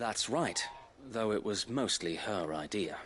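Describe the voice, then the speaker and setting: A man puts on a gruff character voice at a medium pitch. He speaks at a fairly slow pace over clear background noise. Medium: video game. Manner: gruff, blunt.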